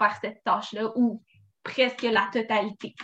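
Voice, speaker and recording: A woman speaks fairly slowly in a fairly high pitch. Her tone is bright and sharp, her intonation monotone and flat. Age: 20s. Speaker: law student. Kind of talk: explanation.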